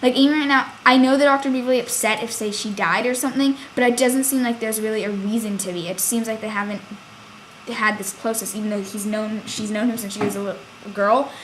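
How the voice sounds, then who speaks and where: Very fast, fairly high-pitched speech from a woman with fairly even intonation and noticeable background noise. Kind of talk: casual review talk to camera.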